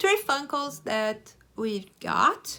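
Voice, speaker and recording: The woman's voice has a bright, sharp tone. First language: Portuguese. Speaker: YouTuber. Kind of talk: show-and-tell vlog. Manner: hesitant, with fillers.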